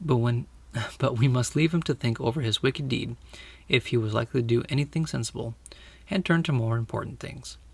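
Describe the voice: The delivery is plain reading aloud. Its pitch varies in an ordinary way.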